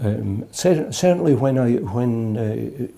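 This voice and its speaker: A man speaks with an Edinburgh accent. His tone is dark and mellow. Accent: Scottish (Edinburgh). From Scotland, Edinburgh. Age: 70s. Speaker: jazz musician. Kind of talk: interview. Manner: halting.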